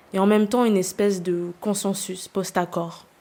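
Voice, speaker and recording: A woman's medium-pitched, dark, mellow voice, flat and monotone, at a fairly slow pace. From New Caledonia (Nouméa). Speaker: podcast host. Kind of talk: scripted narration.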